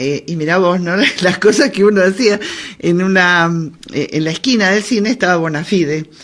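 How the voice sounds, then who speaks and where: A woman with a Rioplatense accent, medium pitch, moderate pace and ordinary pitch variation. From Argentina, Buenos Aires (Caballito). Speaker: radio host. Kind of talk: casual chat. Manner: animated.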